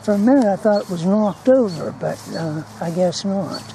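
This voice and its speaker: Through noticeable background noise, a woman speaks at a moderate pace, with a medium pitch and ordinary pitch variation. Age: 70s. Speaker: hobby video maker. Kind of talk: casual vlog narration. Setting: outdoors in a cemetery. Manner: hesitant, many fillers.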